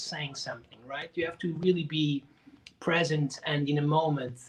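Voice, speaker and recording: A man with a Portuguese accent speaks at a moderate pace in a fairly high pitch. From Portugal. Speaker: drummer and percussionist. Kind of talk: interview.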